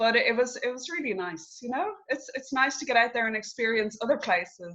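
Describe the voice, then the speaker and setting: With a Dublin accent, a woman talks fairly quickly in a high-pitched voice that has a bright, sharp tone and lively intonation. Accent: Irish, Dublin. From Ireland, Dublin. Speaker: coach and interview host. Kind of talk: casual chat. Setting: video call.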